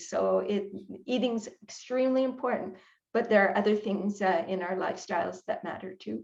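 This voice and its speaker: A woman with a Canadian accent has an ordinary speaking voice, fairly high in pitch, with ordinary pitch variation at a moderate pace. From Canada. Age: 60s. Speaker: dietitian. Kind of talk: interview chat.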